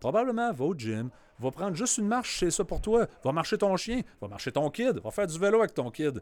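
With a Quebec accent, a man speaks in a high-pitched voice that swings very widely in pitch. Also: fairly quick pace. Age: 40s. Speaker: CrossFit gym owner. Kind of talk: casual panel discussion.

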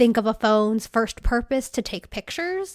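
In a dry, close sound with no echo, a woman with a normal speaking voice talks at a moderate pace and a fairly high pitch. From California. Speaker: podcaster. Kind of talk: casual interview chat. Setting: remote call.

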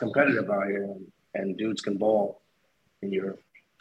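This man speaks with a New York accent. His pace is moderate. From Long Island, New York. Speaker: import football player. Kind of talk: casual interview. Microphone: echo in headphones.

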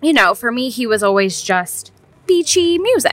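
Projecting a raised voice at a moderate pace, a woman swings her pitch very widely over noticeable background noise. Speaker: podcast co-host, daughter. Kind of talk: casual chat. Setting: outdoors in a brewery beer garden.

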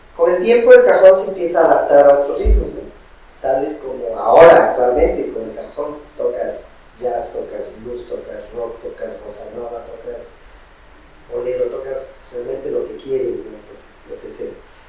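A man speaks at a fairly slow pace with big swings in loudness. Noticeable background noise and audible room echo are present. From Peru, Piura (north coast). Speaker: singer-songwriter. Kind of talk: interview.

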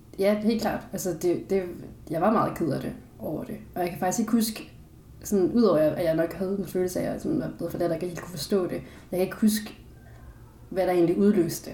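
At medium pitch and a fairly quick pace, a woman speaks with ordinary pitch variation. Audible room echo surrounds her voice. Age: 20s. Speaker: philosophy student, adoptee. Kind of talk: casual interview.

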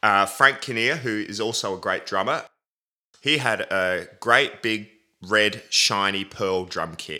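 In an Australian accent, a man talks at a very slow pace. His voice sits at a fairly low pitch with a bright, sharp tone. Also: ordinary pitch variation, very clean recording, silent background. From Adelaide, South Australia. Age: 30s. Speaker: drummer. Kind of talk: casual interview.

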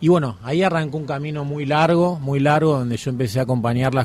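He has an ordinary speaking voice, with fairly high pitch for a man. His speed is moderate, and his pitch varies in an ordinary way. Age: 30s. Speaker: documentary journalist. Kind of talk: radio interview.

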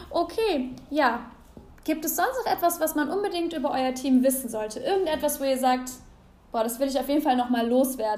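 A high-pitched woman's voice at a moderate pace, with ordinary pitch variation and audible room echo. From Aachen, Germany. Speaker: podcast host. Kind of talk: casual podcast monologue and interview. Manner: animated.

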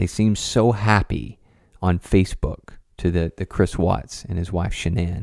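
This man has a very deep, low pitch with vocal fry and fairly even intonation, speaking at a fairly slow pace. The sound is dry and close with no echo, on a very clean recording with a silent background. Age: 30s. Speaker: podcast host and counselor. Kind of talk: casual monologue.

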